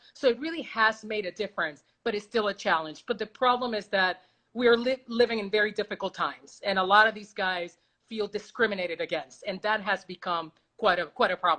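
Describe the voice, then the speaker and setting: Against a quiet background, a woman speaks fairly quickly in a medium pitch with a bright, sharp tone, ordinary pitch variation and big swings in loudness. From Puerto Rico. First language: Spanish. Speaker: baseball reporter. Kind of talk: casual interview. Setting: video call.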